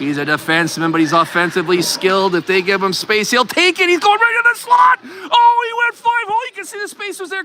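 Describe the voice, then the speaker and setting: A man is shouting. He talks at a fairly quick pace. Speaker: amateur sports commentator, hockey parent. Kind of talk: live commentary. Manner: animated.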